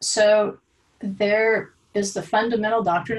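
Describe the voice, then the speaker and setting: Her pitch is medium and varies in an ordinary way. The woman uses a normal speaking voice. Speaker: Bible teacher. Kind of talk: lecture.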